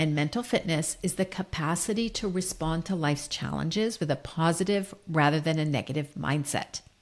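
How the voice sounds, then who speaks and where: A woman's fairly low-pitched voice in an American accent, fairly quick with hardly any pauses, very even in loudness, with ordinary pitch variation. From United States. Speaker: leadership coach. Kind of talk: solo podcast monologue.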